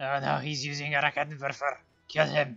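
Speaking at a fairly quick pace, a man does a put-on character voice pitched fairly high for a man, with faint music in the background. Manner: dumb goofy voice.

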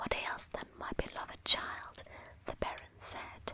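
A fairly slow whisper comes through with noticeable background noise. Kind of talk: poetry reading; ASMR. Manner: whispered.

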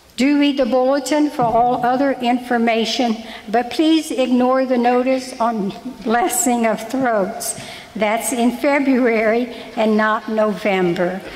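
This woman keeps her loudness very even at a fairly slow pace. Her pitch variation is ordinary. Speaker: lay reader giving parish announcements. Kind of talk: church announcements and prayer intro. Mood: gentle, light humor then solemn. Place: church. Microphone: podium.

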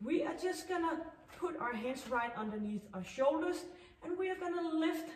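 Audible echo from the room can be heard. The voice belongs to a woman. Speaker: fitness instructor. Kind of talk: workout instruction. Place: gym.

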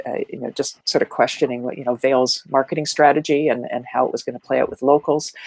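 With a Canadian accent, a woman talks very fast with hardly any pauses and big swings in loudness, in a dry sound with no echo. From Ontario, Canada (small town north of Toronto). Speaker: marketing speaker and educator; speaker, educator. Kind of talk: casual interview chat. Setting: video call. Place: home room. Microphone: earbuds.

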